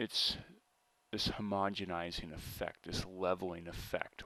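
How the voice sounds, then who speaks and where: Very deep, low-pitched man's voice with an American accent, a bright, sharp tone and monotone, flat intonation. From United States, urban or suburban city. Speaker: video blogger on accents. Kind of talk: casual monologue to camera. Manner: casual, with fillers and repetitions.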